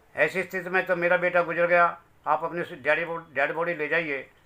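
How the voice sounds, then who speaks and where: Here a man is speaking. His pace is moderate. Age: 60s. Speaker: bereaved father. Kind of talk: testimony. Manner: emotional.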